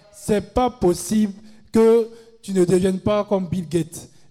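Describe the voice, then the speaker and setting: Over music in the background, a man talks at a high pitch and a fairly slow pace. His intonation is fairly even. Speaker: retreat prayer leader. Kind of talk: fervent group prayer. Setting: live retreat with large crowd. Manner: commanding, rousing call-and-response.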